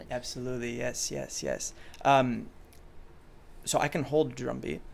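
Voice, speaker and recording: Pitched in the middle range, a man talks with long, frequent pauses. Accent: French. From Chicago, raised partly in France. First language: French. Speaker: pop musician. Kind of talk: interview. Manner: hesitant, many fillers.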